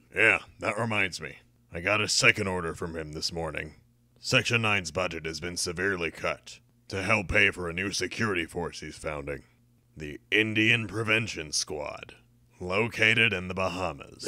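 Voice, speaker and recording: A man's very deep, low voice at a moderate pace in a very clean recording with a silent background. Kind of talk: deadpan comic delivery. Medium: fan dub. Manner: smug, dry, mocking.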